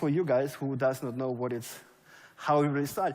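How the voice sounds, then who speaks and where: There is audible room echo around this man's voice. He speaks with a German accent at a fairly quick pace. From Germany. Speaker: network marketing leader. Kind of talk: motivational speech. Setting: stage with audience.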